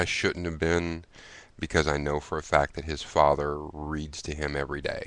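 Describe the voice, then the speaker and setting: At a moderate pace, a man talks in a flat monotone with a very deep, low voice. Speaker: video blogger. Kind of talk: casual chat. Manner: halting, many fillers.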